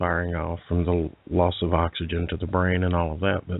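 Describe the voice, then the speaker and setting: A man's very deep, low voice at a moderate pace, monotone and flat in intonation. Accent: Alabama. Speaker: paranormal radio show host. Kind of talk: interview. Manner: halting, many fillers and repetitions.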